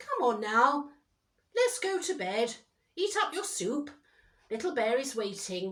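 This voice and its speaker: Using a put-on character voice, a woman speaks high with very wide pitch swings, at a fairly slow pace broken by long, frequent pauses. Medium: read story.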